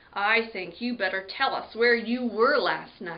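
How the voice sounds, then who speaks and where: Growling in a put-on character voice, a woman speaks at a fairly slow pace and a fairly high pitch. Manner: gruff, interrogating.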